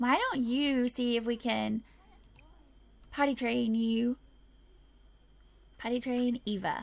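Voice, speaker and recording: Noticeable background noise sits behind a high-pitched woman. She speaks at a very slow pace with long, frequent pauses. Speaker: gaming video creator. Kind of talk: let's play commentary. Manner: animated.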